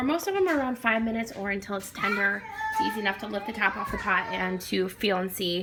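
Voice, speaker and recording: A woman's fairly high voice at a fairly quick pace over noticeable background noise. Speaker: parent. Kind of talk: tutorial; casual chat. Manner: fast; casual, many fillers.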